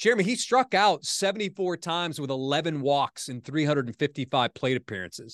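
Over a quiet background with a dry, close sound and no echo, a man with fairly high pitch talks at a fairly quick pace with lively intonation in a plain, everyday voice. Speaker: sports anchor and podcast host. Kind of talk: casual sports talk podcast.

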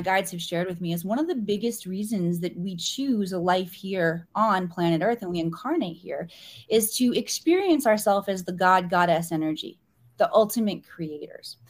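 A somewhat breathy, medium-pitched woman's voice in an American accent, with lively intonation, a moderate pace and a very clean recording over a silent background. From US Midwest, small-town Missouri. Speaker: spiritual teacher. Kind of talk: podcast interview.

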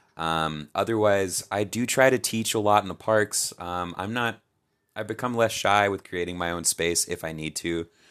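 A man speaks with a fairly low pitch. His pace is moderate and his pitch varies in an ordinary way. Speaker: musician and yoga teacher. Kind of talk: casual chat.

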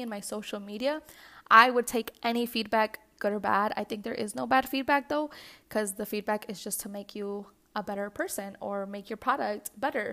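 On a very clean recording with a silent background, a woman with a non-native accent and a fairly high pitch talks at a fairly quick pace in a bright, sharp tone with fairly even intonation. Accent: non-native English noted by herself. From US Midwest, west suburbs of Chicago, Mexican-American family. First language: Spanish. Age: 20s. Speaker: podcast host. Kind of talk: solo podcast monologue.

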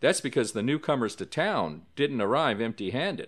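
A man's dramatic tone with very wide pitch swings at a moderate pace, in a very clean recording with a silent background. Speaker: podcast host. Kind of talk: scripted narration of a paranormal story, true-crime horror style. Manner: measured, suspenseful storyteller pacing with dramatic emphasis; formal, polished and clear.

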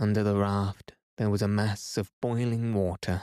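In a dry, close recording with no echo, very clean and with a silent background, a man with a fairly low voice and a dark, mellow, soothing, calm tone speaks at a fairly slow pace. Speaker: sleep story narrator. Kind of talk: reading aloud, sleep story narration. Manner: soothing, calm, slow.

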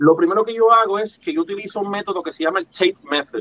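This man's voice sits high in pitch, with ordinary pitch variation. He talks at a fairly quick pace. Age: 40s. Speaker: pixel artist. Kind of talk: interview.

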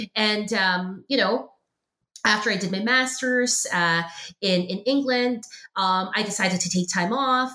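A woman talks in a normal speaking voice at a fairly slow pace. Her pitch is fairly high, with ordinary variation. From Philippines and Hong Kong, then Canada from 1999. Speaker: professor and podcast host. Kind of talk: interview conversation. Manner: many fillers and repetitions.

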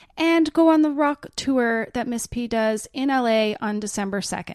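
In a Canadian accent, a woman with an unremarkable speaking voice talks at a fairly high pitch with ordinary pitch variation, the sound dry and close with no echo. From Canada. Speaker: podcast co-host. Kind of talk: casual interview. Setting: in person.

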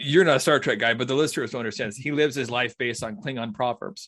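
A man with a plain, everyday voice talks at medium pitch with ordinary pitch variation over a quiet background. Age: 30s. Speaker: podcast host. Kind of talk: casual chat.

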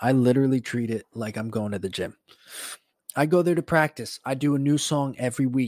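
A man's medium-pitched voice at a fairly quick pace, ordinary pitch variation, dry, close sound with no echo, and a very clean recording with a silent background. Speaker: podcast host and teacher. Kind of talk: casual solo monologue. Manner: soft-spoken; casual, profane.

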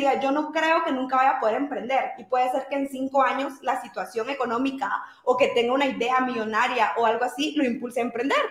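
A woman talks at a fairly quick pace with a high pitch and ordinary pitch variation. Noticeable background noise sits behind her. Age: 20s. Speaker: entrepreneur. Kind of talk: interview. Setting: live stream.

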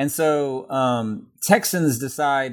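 Lively intonation marks this man's medium-pitched voice, an ordinary speaking voice. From Texas. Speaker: history professor. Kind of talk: interview.

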